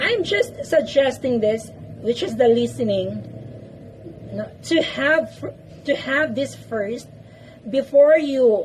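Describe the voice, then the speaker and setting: Through noticeable background noise, a woman with a Filipino accent speaks at a very slow pace. She leaves long, frequent pauses. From Philippines. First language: Filipino language (not English). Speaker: English-speaking vlogger. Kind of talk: tutorial. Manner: repetitive, emphatic.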